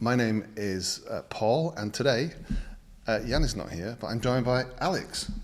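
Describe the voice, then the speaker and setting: A man's medium-pitched voice in a British accent, with ordinary pitch variation and a moderate pace. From Britain. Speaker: design channel host. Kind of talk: casual chat.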